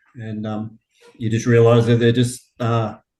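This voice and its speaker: A man with a medium-pitched voice talks at a fairly slow pace. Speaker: meditation teacher trainee. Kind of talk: casual chat. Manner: honest, natural pace.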